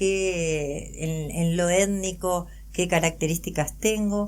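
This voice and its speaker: A woman is speaking. Her pace is very slow. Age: 60s. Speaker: adoptee and psychologist. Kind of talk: interview testimony.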